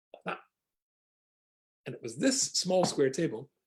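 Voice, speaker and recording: Somewhat breathy, a man with a Scottish accent speaks at a moderate pace with very wide pitch swings. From Scotland. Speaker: rabbi. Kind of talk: humorous storytelling in an online talk. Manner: humorous.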